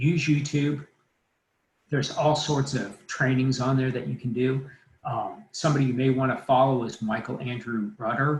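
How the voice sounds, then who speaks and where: A man's unremarkable speaking voice at medium pitch, moderate pace and fairly even intonation. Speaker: mortgage lender presenting a training. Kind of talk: live online training presentation. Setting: livestream webinar.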